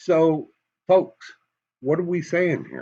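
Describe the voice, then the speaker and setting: A man speaks at a very slow pace with an American accent. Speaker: political commentator. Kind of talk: commentary monologue. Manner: animated.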